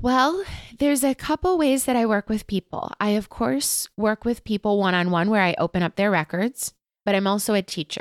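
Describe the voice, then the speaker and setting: A woman with an unremarkable speaking voice talks at a moderate pace, her fairly high pitch moving with lively intonation at very even loudness. The recording is very clean with a silent background, and the sound is dry and close with no echo. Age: 30s. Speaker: Akashic records teacher and practitioner. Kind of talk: casual interview chat. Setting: guest's home.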